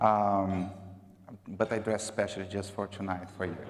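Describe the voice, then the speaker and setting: Speaking with a Brazilian accent, a man keeps to a moderate pace. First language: Portuguese. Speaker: marketing executive. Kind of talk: conference talk. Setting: gala dinner stage with audience. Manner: casual with many fillers.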